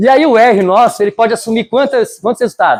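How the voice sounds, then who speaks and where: A man's voice at an extremely high pitch. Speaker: student tutor. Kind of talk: lecture. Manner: fast; animated.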